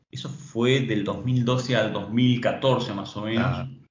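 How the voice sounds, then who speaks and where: The speaker is a man. Room echo is audible. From Tucumán, Argentina. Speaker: entrepreneur. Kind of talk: interview. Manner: halting, many repetitions.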